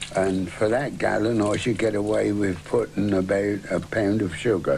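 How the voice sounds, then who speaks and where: Over noticeable background noise, a man with a fairly low voice speaks at a fairly slow pace. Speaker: farmer and hedgelayer. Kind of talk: casual talk to camera.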